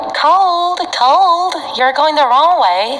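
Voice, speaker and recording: Someone puts on a hoarse character voice. Background noise is clearly heard. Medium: read story. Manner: playful, menacing.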